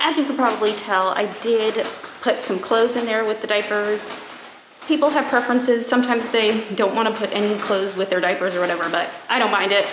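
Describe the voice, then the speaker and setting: Fairly quick speech from a woman at a fairly high pitch, ordinary pitch variation, with audible room echo and noticeable background noise. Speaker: vlogger. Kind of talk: casual vlog talk. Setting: at home. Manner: whispering.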